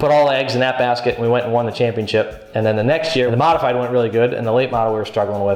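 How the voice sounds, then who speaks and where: An animated voice with an American accent comes through audible room echo. Music plays in the background. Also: man. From New England, US (Massachusetts). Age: 30s. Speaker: race car driver. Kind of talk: interview. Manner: casual, animated.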